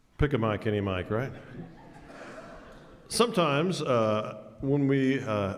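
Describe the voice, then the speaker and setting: Speaking at a fairly slow pace with long, frequent pauses, a man with an American accent and a medium pitch uses lively intonation, with audible room echo around him. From Texas, Jasper (East Texas). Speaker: choir director. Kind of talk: concert stage talk. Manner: halting, many fillers.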